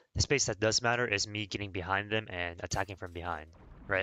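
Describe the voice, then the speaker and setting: Ordinary pitch variation with music in the background. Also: man. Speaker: gaming streamer and coach. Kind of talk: live stream gameplay analysis. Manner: casual, filler-heavy.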